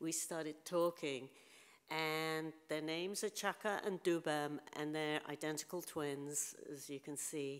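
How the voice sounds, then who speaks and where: A woman's very deep, low voice in a British accent, fairly slow, with fairly even intonation. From England, London. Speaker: photographer. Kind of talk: lecture. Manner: casual.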